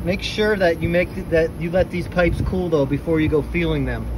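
This man keeps a moderate pace, and noticeable background noise can be heard. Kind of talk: tutorial. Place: open country. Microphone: phone near.

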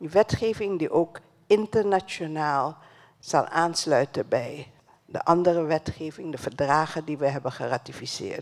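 A woman with a very deep, low pitch talks at a fairly slow pace against a quiet background. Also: ordinary pitch variation. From Suriname. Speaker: education ministry official; speaker. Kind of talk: closing speech at a dialogue event. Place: hall. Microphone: handheld.

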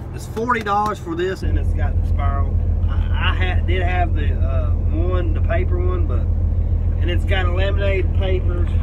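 Heavy background noise nearly swamps this man as he talks at an even tempo. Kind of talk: casual vlog chat. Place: car.

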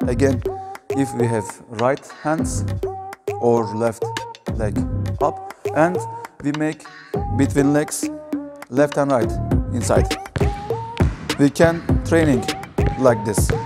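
Loud music plays behind a man who talks at a very slow pace, with ordinary pitch variation and long, frequent pauses. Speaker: basketball coach. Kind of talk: tutorial. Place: hall.

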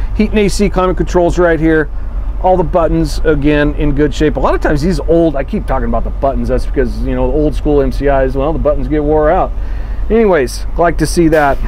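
A man speaks at a fairly quick pace with very even loudness over light background noise. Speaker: bus sales walkthrough host. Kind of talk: casual product walkthrough. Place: bus. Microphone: camera far.

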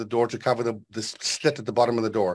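This man's words come out very fast. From South Africa, Western Transvaal. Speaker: IT specialist and professional speaker. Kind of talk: tutorial. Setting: video call.

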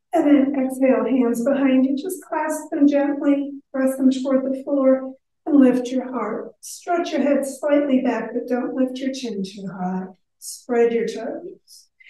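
A woman speaks at a high pitch and a fairly slow pace, her tone dark and mellow. Audible room echo surrounds her voice. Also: ordinary pitch variation. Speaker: yoga instructor. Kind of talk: guided exercise instruction. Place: hall. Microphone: camera far.

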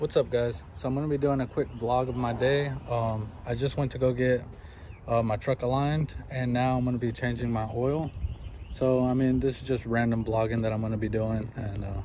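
A man's dark, mellow tone at a fairly quick pace, fairly even in intonation, dry with no echo, over light background noise. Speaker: vlogger doing car maintenance. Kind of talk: casual vlog chat. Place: street. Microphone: phone near.

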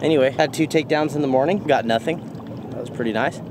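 A man speaks with ordinary pitch variation. The sound is dry with no echo, and there is noticeable background noise. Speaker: fishing vlogger. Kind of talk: casual vlog chat. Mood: relaxed, content. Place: waterside. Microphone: phone near.

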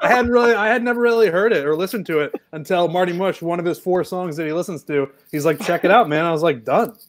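A man's high voice at a very fast pace, lively in intonation, over a quiet background. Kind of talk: casual chat. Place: home room.

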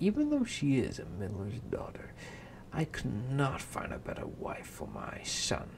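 Over noticeable background noise, a man uses a put-on character voice at a moderate pace. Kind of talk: affected, posh. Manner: mocking, exaggerated.

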